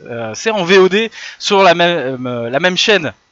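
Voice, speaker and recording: Lively intonation comes through a dry, close sound that has no echo. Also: man. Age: 30s. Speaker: lecturer. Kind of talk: lecture. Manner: animated.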